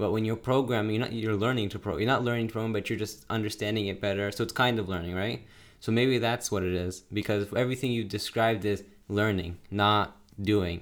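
His pitch sits fairly low. The man speaks at a very fast pace. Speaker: podcast co-host, son. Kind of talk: casual chat. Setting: remote call.

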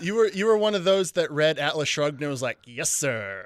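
A man with an American accent, an ordinary speaking voice and lively intonation at a moderate pace. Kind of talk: casual comedic banter between friends.

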